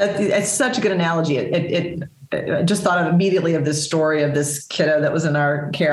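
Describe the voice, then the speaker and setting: A woman with an American accent at a very fast pace, amid noticeable background noise and audible room echo. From Texas. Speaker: nonprofit CEO and social worker. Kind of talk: interview. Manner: hesitant with many fillers.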